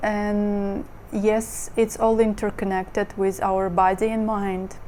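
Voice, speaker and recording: Speaking at a fairly slow pace, a woman with a Russian accent uses a medium pitch. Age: 30s. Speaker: model and lifestyle vlogger. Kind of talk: casual monologue vlog. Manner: hesitant, many fillers.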